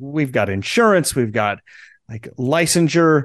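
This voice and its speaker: The speaker has an American accent and very wide pitch swings. The pace is fairly slow. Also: man, quiet background. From US Midwest, central Nebraska. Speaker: transformational guide. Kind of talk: interview.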